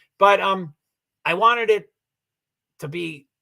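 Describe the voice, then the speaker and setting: A man with a high pitch and a bright, sharp tone speaks in a raised, projected voice. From Kentucky (Louisville). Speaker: live streamer. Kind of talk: casual livestream monologue. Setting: livestream. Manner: repeats words, frequent fillers and restarts; rambling, talkative.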